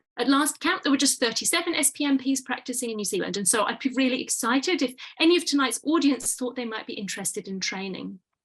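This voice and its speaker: Speaking very fast with hardly any pauses, a woman with a British accent uses lively intonation at a high pitch. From UK. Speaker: pain medicine physician. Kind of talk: webinar presentation. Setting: online webinar.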